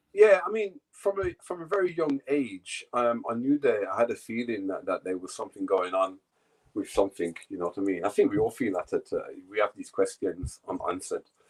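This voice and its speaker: A fairly quick voice with a British accent, dry and close with no echo. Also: man. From England. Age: 60s. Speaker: yoga teacher. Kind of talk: casual interview.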